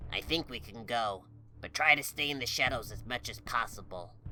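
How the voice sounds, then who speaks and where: Using a put-on character voice, a man speaks at a medium pitch and a moderate pace. There are big swings in loudness and clear background noise. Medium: read story. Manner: serious, commanding.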